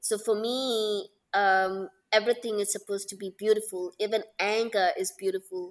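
A woman speaks in a Tamil accent at medium pitch and a moderate pace. Her intonation is monotone and flat. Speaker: Bharatanatyam dancer. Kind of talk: casual interview chat.

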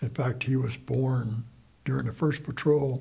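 With an American accent, a man of medium pitch speaks at a fairly slow pace in a dark, mellow, somewhat breathy voice. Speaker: Vietnam War veteran. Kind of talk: elder life story, recalling war memories in an unedited interview. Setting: interview. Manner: rambling, halting, repeating phrases as he recalls; plainspoken, matter-of-fact, conversational.

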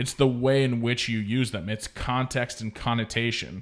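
A man with an American accent, a normal speaking voice at medium pitch, fairly even intonation and moderate pace, on a very clean recording with a silent background. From Oregon, small town. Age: 30s. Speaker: podcast host, former radio broadcaster. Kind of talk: casual chat. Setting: studio.

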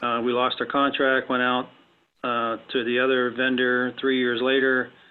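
His voice sits at a medium pitch. The man talks with an American accent. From West Virginia. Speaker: defense contracting business owner. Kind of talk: interview.

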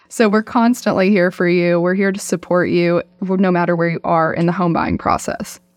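A woman with a fairly low pitch talks at a moderate pace with hardly any pauses and fairly even intonation while music plays in the background. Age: 20s. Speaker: real estate closing agent. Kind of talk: casual interview. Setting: studio.

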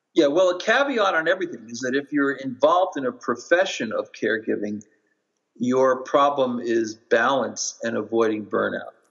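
A plain, everyday voice from a man, medium in pitch, at a moderate pace with lively intonation. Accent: American. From US Northeast (Long Island, New York). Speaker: professor. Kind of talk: interview.

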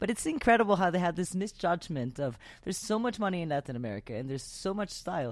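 A woman talks at a very fast pace in an animated tone, her fairly low voice carrying vocal fry. Her pitch swings very widely. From Venezuela. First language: Spanish. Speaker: podcast host. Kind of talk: casual interview chat.

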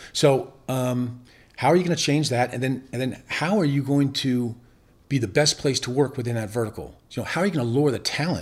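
In a normal speaking voice with an American accent, the speaker moves at a fairly quick pace with ordinary pitch variation. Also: man, medium pitch for a man. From Northern Virginia, US. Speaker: business owner. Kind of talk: casual interview.

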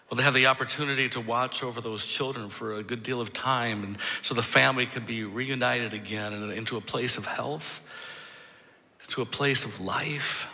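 Over noticeable background noise and audible room echo, a man with an American accent speaks at medium pitch and a moderate pace, his intonation fairly even. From Michigan. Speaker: pastor. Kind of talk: sermon. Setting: church.

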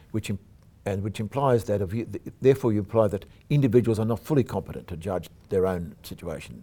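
A man with an Australian accent talks at a fairly quick pace in a fairly low pitch. His tone is dark and mellow, with lively intonation. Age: old. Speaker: podcast host. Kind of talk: interview.

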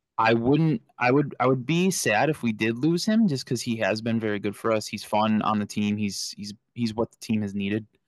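In an unremarkable speaking voice, a man talks at a moderate pace with hardly any pauses, medium pitch, ordinary pitch variation and big swings in loudness over a quiet background. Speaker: podcast co-host. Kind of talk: casual sports podcast chat.

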